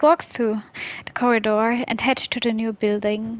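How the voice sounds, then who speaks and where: Through noticeable background noise, a woman with a non-native accent speaks at a moderate pace and a fairly high pitch. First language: not English. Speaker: game streamer. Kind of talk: reading visual novel text aloud.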